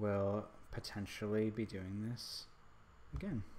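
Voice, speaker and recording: A man is speaking. His pitch is fairly low. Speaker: hobby photographer streaming his editing. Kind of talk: casual livestream tutorial. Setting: livestream from laptop. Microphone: stream quality reported bad.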